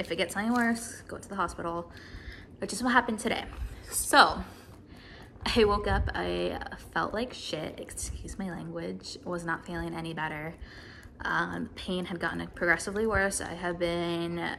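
A woman at a moderate pace with long, frequent pauses, big swings in loudness and light background noise. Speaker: vlogger. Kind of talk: casual vlog chat, health update. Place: home room. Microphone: phone near.

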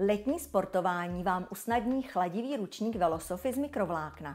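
A woman's upbeat, medium-pitched voice with vocal fry and very wide pitch swings, at a moderate pace, on a very clean recording with a silent background. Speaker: brand presenter. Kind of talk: infomercial. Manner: polished, upbeat sales-presenter delivery; smooth, enthusiastic, flowery, sensual product-praising tone.

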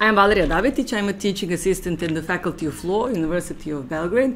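A woman with a fairly low pitch and an unremarkable speaking voice talks at a fairly quick pace with lively intonation over light background noise. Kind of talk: lecture. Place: meeting room. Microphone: podium.

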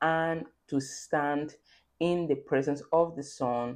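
A woman's very deep, low pitch over a quiet background. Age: 30s. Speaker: faith-based content creator. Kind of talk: devotional talk with scripture reading. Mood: earnest, exhorting. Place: home room. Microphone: phone near.

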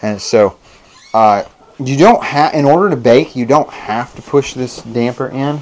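At a very slow pace, a man talks with ordinary pitch variation. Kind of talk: tutorial. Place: kitchen. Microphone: lapel.

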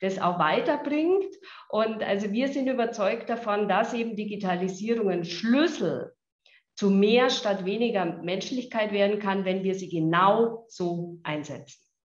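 The speech comes at a fairly slow pace with audible room echo. The background is quiet. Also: woman. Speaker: health insurance executive. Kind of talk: video interview. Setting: video call. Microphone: video call.

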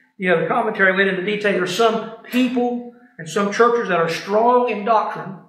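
A man speaks with a high pitch and a fairly bright tone at a moderate pace. His pitch varies in an ordinary way, and strong room echo is present.

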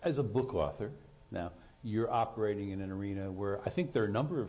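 Somewhat breathy, a man's dark, mellow voice moves with lively intonation. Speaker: moderator, science writer; moderator. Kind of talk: moderated panel discussion. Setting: stage with audience. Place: stage. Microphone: lapel.

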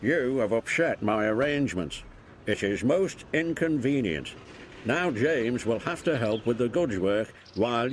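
Lively intonation runs through a natural reading voice.

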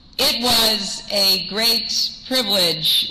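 A woman speaks over loud background noise. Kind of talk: acceptance speech. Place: hall. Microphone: podium.

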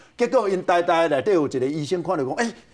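The background stays quiet. A man's pitch swings very widely as he talks. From Taiwan. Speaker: TV pundit. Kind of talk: TV political talk show. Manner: animated, many fillers. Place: studio. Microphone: lapel.

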